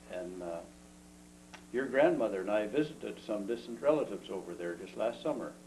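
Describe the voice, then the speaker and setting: With an Ontario accent, this man talks at a fairly quick pace in a fairly low pitch, his intonation lively and his loudness swinging widely. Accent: Canadian English, Ontario. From Ontario, Canada. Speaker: retired engineer, grandfather. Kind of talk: casual family interview. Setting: home video. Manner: halting, many fillers.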